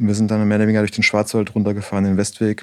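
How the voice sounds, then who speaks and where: The man's voice is fairly low, captured in a very clean recording against a silent background. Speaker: bike brand co-founder. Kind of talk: casual interview.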